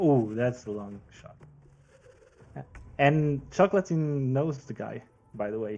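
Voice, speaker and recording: At a very slow pace with long, frequent pauses, a man with a non-native accent speaks at medium pitch in a dark, mellow tone, his intonation lively and his loudness swinging widely. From Switzerland. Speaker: football pundit. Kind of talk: casual chat. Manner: hesitant, many fillers.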